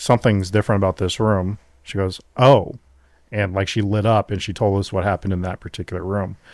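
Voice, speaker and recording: In a plain, everyday voice, the speaker goes at a fairly quick pace with fairly even intonation, in a very clean recording with a silent background and a dry, close sound with no echo. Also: man. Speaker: paranormal investigator, podcast host. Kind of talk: casual interview answer.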